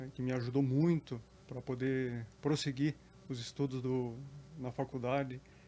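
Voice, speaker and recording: Speaking at a fairly slow pace, a man with a medium pitch and a dark, mellow tone keeps a monotone, flat intonation. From Curitiba, southern Brazil. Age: 40s. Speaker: public servant and council candidate. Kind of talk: interview.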